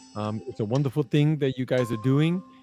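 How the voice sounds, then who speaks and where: A dark, mellow tone with a Brooklyn accent and ordinary pitch variation, dry and close with no echo, on a very clean recording against a silent background. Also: man. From New York, Brooklyn. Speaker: live show guest. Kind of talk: conversational interview talk. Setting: live broadcast. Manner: halting, with repetitions.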